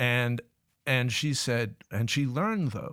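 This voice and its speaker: An American-accented man at medium pitch and moderate pace, in a very clean recording with a silent background. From US South, Richmond, Virginia. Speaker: labor policy expert and visiting professor. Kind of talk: interview. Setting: studio. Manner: halting.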